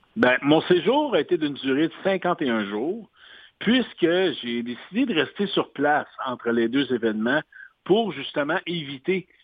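The man speaks at a very slow pace. His fairly high voice shows very wide pitch swings. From Quebec. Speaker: sports announcer. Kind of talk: interview. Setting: phone call.

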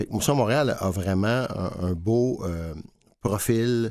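A man speaks with ordinary variation in his pitch. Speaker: food bank director. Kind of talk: interview. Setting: studio.

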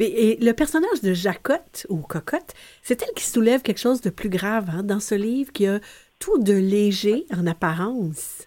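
A fairly high-pitched woman's voice, dark and mellow in tone, with lively intonation at a fairly slow pace. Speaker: radio host. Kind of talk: radio show hosting.

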